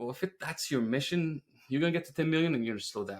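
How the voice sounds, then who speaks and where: Speaking very fast with a Quebec accent, a man uses ordinary pitch variation. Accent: French Canadian accent in English. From Quebec, French Canada. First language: French. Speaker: roofing business owner. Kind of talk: podcast interview.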